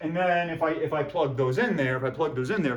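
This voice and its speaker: A man speaks in a space where room echo can be heard. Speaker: math professor. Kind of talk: lecture. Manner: animated.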